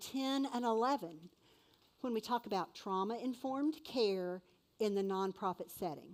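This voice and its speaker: Lively intonation colors an unremarkable speaking voice as a woman talks at a moderate pace with a fairly high pitch. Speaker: event emcee. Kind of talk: event announcements.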